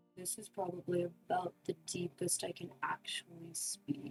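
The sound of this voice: Over music in the background, a woman uses a gravelly put-on character voice, fairly low in pitch, at a moderate pace.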